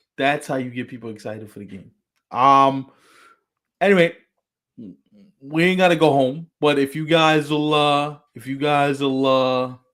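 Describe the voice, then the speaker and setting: A man with a New York accent and a fairly high voice, at a moderate pace with long, frequent pauses, big swings in loudness and ordinary pitch variation. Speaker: baseball show panelist. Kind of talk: casual chat. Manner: animated.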